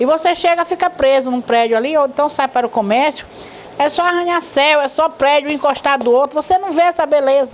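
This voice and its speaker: There is noticeable background noise as a woman speaks. Her voice is high-pitched and her pace fairly quick. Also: ordinary pitch variation. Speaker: retired teacher and hymn author. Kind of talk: interview. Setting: at her home.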